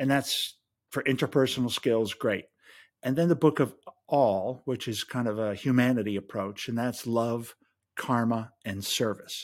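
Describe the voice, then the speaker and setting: The recording is very clean, with a silent background. A man with an unremarkable speaking voice talks at a moderate pace, medium pitch, and ordinary pitch variation. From US Midwest. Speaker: podcaster and writer. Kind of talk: casual chat.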